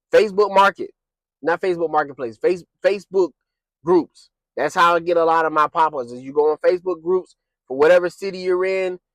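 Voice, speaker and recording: A man shouting loudly at a high pitch and a fairly quick pace, dry and close with no echo. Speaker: small business owner, candle maker. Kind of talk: casual tutorial vlog. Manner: loud, kind of yelling; casual, filler-heavy. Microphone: new mic, may be too loud.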